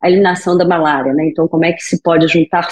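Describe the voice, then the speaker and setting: In a Brazilian accent, a woman speaks in a monotone, flat way at a fairly low pitch, the sound dry and close with no echo. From Brazil, Rio de Janeiro. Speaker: physician in global health. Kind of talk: podcast interview.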